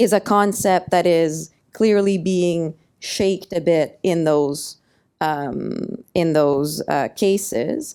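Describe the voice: A woman speaks very slowly at a fairly low pitch with ordinary pitch variation. Her tone is clear and smooth, slightly mellow.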